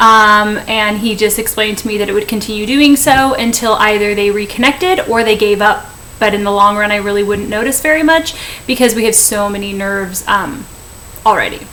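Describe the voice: A woman with a bright, sharp tone and a medium-pitched voice talks at a moderate pace, her pitch varying in an ordinary way, with faint background noise behind her.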